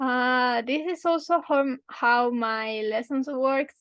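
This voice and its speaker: A woman with a Spanish accent speaks at a high pitch with ordinary pitch variation. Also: quiet background. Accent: Spanish (Spain) accent in English. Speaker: language teacher. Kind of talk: tutorial. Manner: halting.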